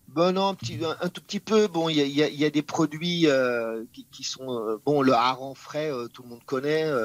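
In a dry, close recording with no echo, a man with an unremarkable speaking voice talks at a fairly high pitch, with ordinary pitch variation and big swings in loudness. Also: fairly slow pace. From France. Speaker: chef and TV personality. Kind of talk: interview.

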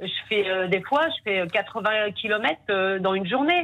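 A woman's medium-pitched voice. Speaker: caller, domestic worker. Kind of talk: phone call question to guest. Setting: phone call.

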